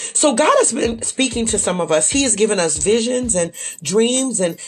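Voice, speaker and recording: Speaking at a fairly quick pace over music in the background, a woman sounds animated, her fairly high voice full of lively intonation. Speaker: faith podcast host. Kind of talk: devotional podcast monologue.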